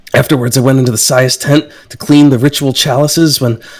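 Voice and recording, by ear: The speaker reads aloud in a natural voice, keeping the intonation fairly even.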